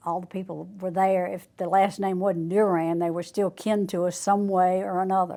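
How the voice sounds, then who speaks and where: Speaking with a Louisiana accent, a woman uses a medium pitch and a dark, mellow tone with monotone, flat intonation. She keeps a moderate pace with hardly any pauses on a very clean recording with a silent background. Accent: Southern US, Louisiana. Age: 70s. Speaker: churchgoer. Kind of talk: testimony.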